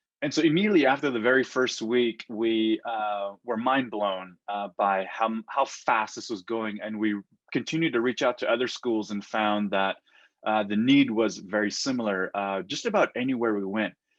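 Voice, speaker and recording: A man speaks at a medium pitch in a Navajo Nation accent. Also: ordinary pitch variation, moderate pace, quiet background. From Navajo Nation, US Southwest. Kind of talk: interview. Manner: hesitant, many fillers.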